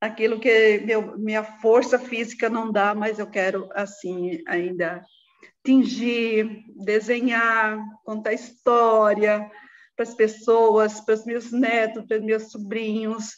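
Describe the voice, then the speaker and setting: Speaking at a very slow pace, a woman keeps her intonation fairly even. Her pitch sits fairly high. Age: 60s. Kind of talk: interview. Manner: halting.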